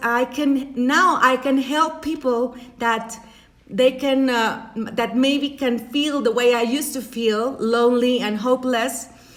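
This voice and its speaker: Noticeable background noise behind a woman's high voice, very slow in pace and fairly even in intonation. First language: Spanish. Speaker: life coach. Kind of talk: motivational talk. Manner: halting.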